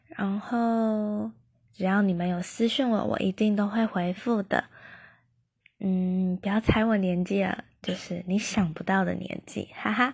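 In a quiet setting, a woman speaks fairly slowly at a medium pitch, her voice somewhat breathy and her intonation fairly even. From Taiwan. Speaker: podcaster. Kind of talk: casual self-introduction monologue. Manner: halting, many fillers.

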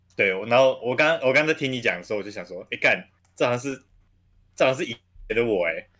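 Bright and sharp, a man's voice runs at a very fast pace with lively intonation. Long, frequent pauses break up his speech. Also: medium pitch for a man. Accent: Taiwanese. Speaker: podcast guest, restaurant worker. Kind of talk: casual chat. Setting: remote recording.

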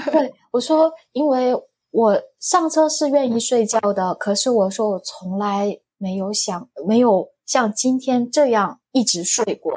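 In a Korean accent, a woman with a high pitch speaks at a very slow pace with lively intonation and hardly any pauses. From South Korea. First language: Korean (speaking Chinese). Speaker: foreign spouse and online reseller. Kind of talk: casual interview.

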